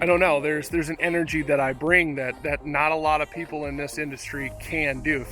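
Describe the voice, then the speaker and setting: A man at a fairly high pitch and fairly quick pace, with music in the background. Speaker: aquascaping business owner. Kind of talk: casual vlog monologue. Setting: at the shop. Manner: loud; passionate, energetic.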